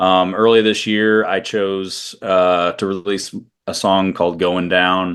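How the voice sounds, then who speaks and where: This man speaks very slowly with a Midwestern US accent. His very deep, low voice stays monotone and flat. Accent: US Midwest. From US Midwest, Iowa. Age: 30s. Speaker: country singer-songwriter. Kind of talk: interview.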